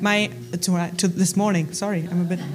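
A woman speaks at a fairly quick pace. Audible room echo and noticeable background noise are present. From Germany. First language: German. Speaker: Bible college staff. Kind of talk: church talk. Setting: church.

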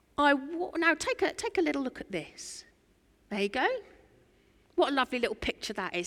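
Speaking at a very fast pace, a woman with a high pitch makes very wide pitch swings and takes long, frequent pauses. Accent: East Anglian. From Norfolk, England. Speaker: preacher. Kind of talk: sermon. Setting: church. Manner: animated.

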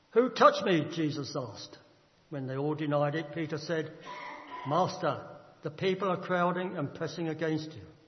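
Amid noticeable background noise, a man with a fairly high pitch talks at a moderate pace, showing ordinary pitch variation and big swings in loudness. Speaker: scripture reader. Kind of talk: reading aloud. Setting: church.

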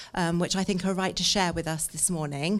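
A woman with a medium pitch uses a normal speaking voice and fairly even intonation. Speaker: church service leader. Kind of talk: prayer and devotional. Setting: church.

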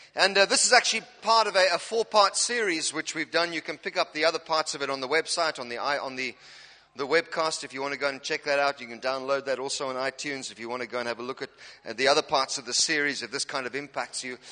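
Bright and sharp in tone, the voice is animated, with lively intonation, big swings in loudness and a very fast pace, in a dry, close recording with no echo. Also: man, fairly high pitch for a man. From South Africa, Cape Town. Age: 40s. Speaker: pastor. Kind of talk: sermon. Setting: church. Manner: humorous.

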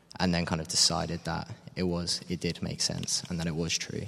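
With a southern English accent, a man speaks fairly quickly in a very deep, low voice with monotone, flat intonation against a quiet background. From Cambridge, England. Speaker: gap year volunteer. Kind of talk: interview. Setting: church.

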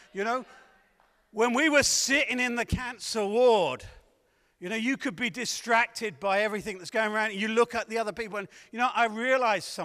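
Raised and projected, a man's high, bright, sharp voice moves at a fairly quick pace with an animated tone and ordinary pitch variation. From southern England. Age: 60s. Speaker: evangelist. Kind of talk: sermon. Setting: church.

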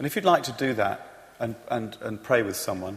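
Speaking in a British accent, the man keeps his pitch medium. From Britain. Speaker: church leader. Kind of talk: testimony. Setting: church. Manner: halting.

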